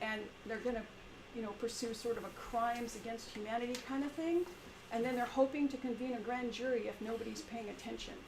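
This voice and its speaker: A woman's fairly high pitch at a very fast pace, with audible room echo and noticeable background noise. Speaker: teacher. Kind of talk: community meeting presentation. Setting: in-person meeting, live-streamed. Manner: halting, with many repetitions.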